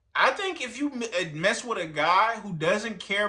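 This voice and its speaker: A man speaks in a raised, projected voice with a high pitch and a bright, sharp tone. His delivery is animated and his pace moderate. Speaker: streamer reacting to videos. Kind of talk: reaction commentary. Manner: loud.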